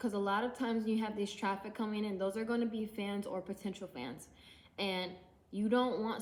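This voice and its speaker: A woman with an unremarkable speaking voice, medium pitch, fairly even intonation and a moderate pace. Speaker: independent musician and YouTuber. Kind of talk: casual tutorial vlog. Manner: casual, with many fillers.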